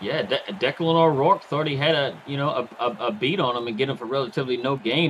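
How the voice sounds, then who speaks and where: Here a man talks at a fairly quick pace with a Southern accent. His pitch is fairly high, with ordinary variation. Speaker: color commentator. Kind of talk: live commentary. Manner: halting, repeats words.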